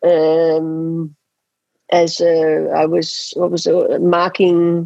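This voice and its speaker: In an Australian accent, a woman with a fairly low pitch speaks at a very slow pace, her intonation monotone and flat and her loudness very even. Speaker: hockey coach and former Olympic player. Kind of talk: interview. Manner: halting, with many repeated words.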